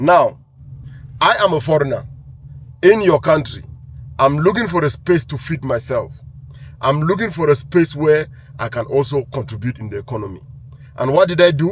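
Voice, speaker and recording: A man speaks at a moderate pace with a fairly high pitch, somewhat breathy, and lively intonation. He leaves long, frequent pauses. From Cameroon. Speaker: entrepreneur. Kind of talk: monologue to camera.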